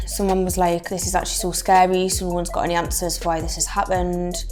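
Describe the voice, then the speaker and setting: With a Geordie accent, a woman talks at a fairly quick pace. Music plays in the background. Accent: North East England (Geordie). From English Midlands. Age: 20s. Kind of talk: interview answer.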